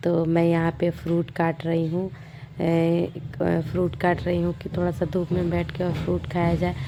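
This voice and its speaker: Noticeable background noise sits under the recording. A woman speaks over it at a fairly slow pace. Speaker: vlogger. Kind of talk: casual vlog narration. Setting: home, sitting outside in the sun.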